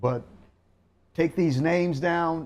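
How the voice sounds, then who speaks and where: At a very slow pace, a man speaks with a fairly high pitch. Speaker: Bible class teacher. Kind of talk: religious lecture.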